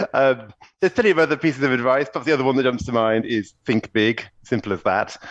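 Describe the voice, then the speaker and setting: A man talks in a British accent at a fairly quick pace with ordinary pitch variation. The background is quiet. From UK. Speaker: executive coach. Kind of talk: podcast interview.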